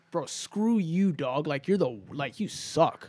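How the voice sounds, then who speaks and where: A man's high-pitched, animated voice with lively intonation at a moderate pace. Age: 20s. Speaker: podcast co-host. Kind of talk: casual chat.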